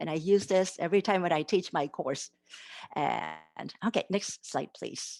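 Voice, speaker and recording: In a Japanese accent, the speaker talks at a fairly slow pace with ordinary pitch variation, recorded with a dry, close sound and no echo. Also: woman, quiet background. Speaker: literacy education professor. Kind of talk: academic conference presentation.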